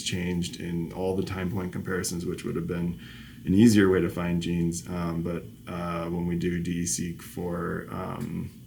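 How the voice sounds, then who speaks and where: Very deep, low male voice at a fairly slow pace, with audible room echo. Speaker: professor. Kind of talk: lecture. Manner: halting.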